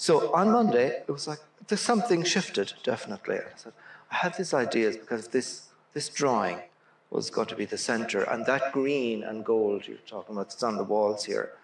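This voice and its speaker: A man in an Irish accent speaks at a moderate pace with big swings in loudness and audible room echo. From Ireland. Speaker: visual and performance artist; interviewee. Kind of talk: public conversation. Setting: stage with audience.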